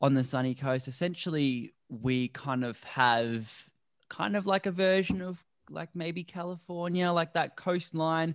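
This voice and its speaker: A man speaks with an Australian accent at a fairly high pitch. His pitch variation is ordinary, and the background is quiet. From Australia (Melbourne). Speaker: plant-based endurance athlete. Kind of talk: casual chat. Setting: video call.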